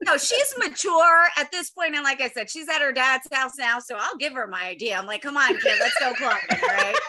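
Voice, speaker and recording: Over noticeable background noise, a woman with a high pitch uses a raised, projected voice, swinging very widely in pitch and speaking at a moderate pace with hardly any pauses. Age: 40s. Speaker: stand-up comedian and former teacher. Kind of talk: casual chat. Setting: video call.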